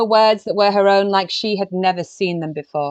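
Against a quiet background, a woman speaks at a moderate pace in a normal speaking voice, medium in pitch with ordinary variation, the sound dry and close with no echo. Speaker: literary biographer. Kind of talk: casual interview.

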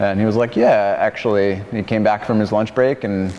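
In an American accent, a man with a fairly low voice speaks at a fairly quick pace in a monotone, flat way over noticeable background noise. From Arizona. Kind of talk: casual interview.

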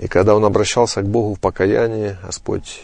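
Over a quiet background, a man speaks at a fairly quick pace in an ordinary speaking voice with a fairly low pitch. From eastern Ukraine, Donetsk region. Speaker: pastor and family counselor. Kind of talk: interview.

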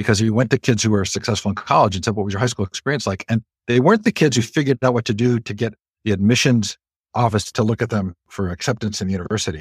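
A man with an American accent speaks at a very fast pace and a fairly low pitch, somewhat breathy, with ordinary pitch variation. The very clean recording has a silent background and a dry, close sound with no echo. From California, Stanford area. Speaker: education organizer and interview host. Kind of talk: interview conversation.

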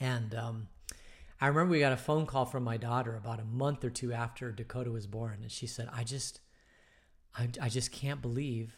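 A man talks in a somewhat breathy voice at a medium pitch. His intonation is fairly even. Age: 50s. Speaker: pastor leading bible study. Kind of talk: casual bible study talk. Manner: hesitant, many fillers.

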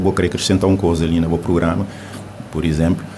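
Over noticeable background noise and audible room echo, a man speaks at a very deep, low pitch with fairly even intonation. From Cape Verde. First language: Cape Verdean Creole (speaking Portuguese). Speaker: poet. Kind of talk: radio interview. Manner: halting.

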